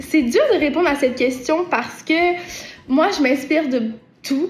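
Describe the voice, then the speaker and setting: Speaking fairly slowly with a Quebec accent, a woman uses a high voice at very even loudness. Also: ordinary pitch variation. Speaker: singer-songwriter. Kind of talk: interview answering viewer questions. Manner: hesitant, many repetitions and fillers.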